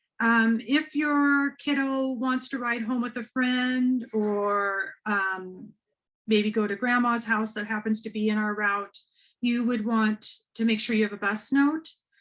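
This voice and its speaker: A woman's fairly high-pitched voice, a normal speaking voice, at a fairly slow pace with ordinary pitch variation. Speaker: school administrator. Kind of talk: informational presentation. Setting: webinar.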